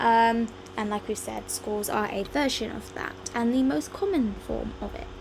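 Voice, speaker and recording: A woman with an English accent at a moderate pace, with audible room echo and noticeable background noise. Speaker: music teacher. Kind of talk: lecture. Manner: hesitant, many ums.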